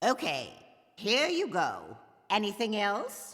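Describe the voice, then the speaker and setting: A put-on character voice from a woman, medium in pitch with very wide pitch swings, at a fairly slow pace. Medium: video game. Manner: prim, clipped, shushing.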